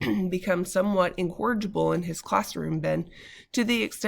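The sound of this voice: Reading voice, unforced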